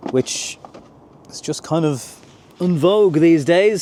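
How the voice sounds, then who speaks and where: A man with an Irish accent, at a fairly slow pace, with ordinary pitch variation. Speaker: car reviewer. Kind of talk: video review walkthrough.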